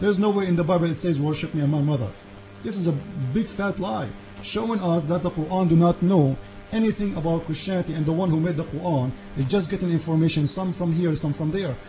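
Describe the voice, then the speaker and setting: Very fast delivery over noticeable background noise. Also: man, high pitch for a man, ordinary pitch variation. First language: Arabic. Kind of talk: heated debate. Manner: animated.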